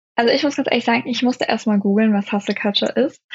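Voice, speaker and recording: A woman talks at a very fast pace, her fairly high voice held in a fairly even intonation. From Germany. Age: 20s. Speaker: law student and video creator. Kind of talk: interview. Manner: hesitant, many filler sounds.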